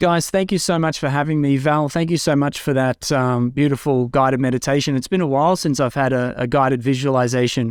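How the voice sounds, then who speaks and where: Delivered in an Australian accent, the speech moves at a fairly quick pace with hardly any pauses, fairly even intonation and very even loudness. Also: man, fairly high pitch for a man. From Australia, Far North Queensland. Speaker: podcast host, spiritual community guest. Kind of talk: interview, personal life story.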